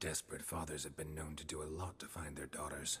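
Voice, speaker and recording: A put-on character voice from a man, very deep and low, in monotone, flat intonation at a very fast pace. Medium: video game. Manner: laconic, dry.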